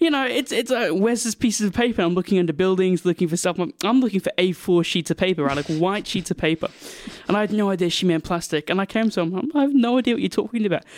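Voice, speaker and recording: In a dry, close sound with no echo, a man with a high pitch talks very fast with lively intonation over noticeable background noise. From Swindon, England. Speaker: radio host and film student. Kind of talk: casual interview chat.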